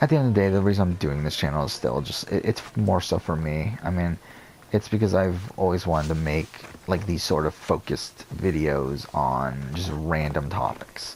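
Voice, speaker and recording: Over noticeable background noise, a man talks with a very deep, low pitch and ordinary pitch variation. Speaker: gaming youtuber. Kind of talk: gameplay commentary. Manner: fast.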